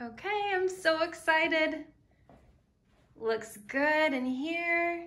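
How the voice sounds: A woman speaks slowly with a high pitch and lively intonation. Her tone is bright and sharp.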